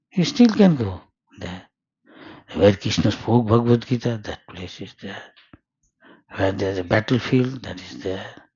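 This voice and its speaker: A man's somewhat breathy, fairly low voice at a moderate pace, with ordinary pitch variation, big swings in loudness and long, frequent pauses. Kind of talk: religious discourse. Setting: house gathering.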